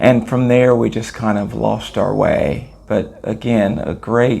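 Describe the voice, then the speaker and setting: A man with an American accent speaks at a fairly slow pace over noticeable background noise. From Los Angeles, California. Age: 60s. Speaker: former professional basketball player. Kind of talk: interview. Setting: on location at a tournament in Italy.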